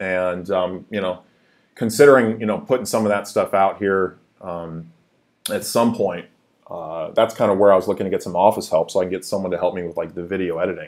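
Against a quiet background, a man speaks. His pace is fairly quick. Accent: West Coast. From US, Seattle. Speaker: YouTube crypto channel host. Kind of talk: casual live-stream chat. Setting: live stream, home office. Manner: halting, many fillers. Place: home room. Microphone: webcam.

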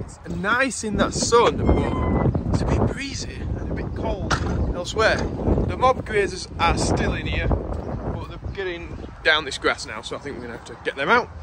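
A man's voice comes through with a dry sound and no echo over loud background noise. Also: moderate pace. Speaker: farmer vlogger. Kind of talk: casual vlog chat. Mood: cheerful, joking. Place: farm machine. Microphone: phone near.

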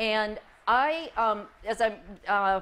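Her voice shows ordinary pitch variation as the woman speaks. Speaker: presenter. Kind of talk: conference presentation. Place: hall.

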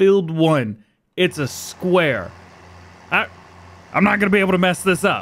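A man is speaking. Music plays in the background. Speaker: gaming YouTuber. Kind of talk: let's play commentary. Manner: casual, self-deprecating.

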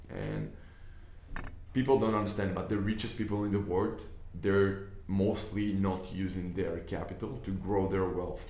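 A man's fairly low-pitched voice with an Israeli accent, in a monotone, flat intonation at a moderate pace, with audible room echo and light background noise. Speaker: business investor and online trainer. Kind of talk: tutorial. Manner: casual, hesitant with fillers. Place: office. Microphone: camera far.

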